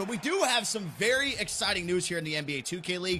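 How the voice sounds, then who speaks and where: A man at a very fast pace with very wide pitch swings, crowd noise in the background. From England, moved to US. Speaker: esports commentator. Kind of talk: live commentary.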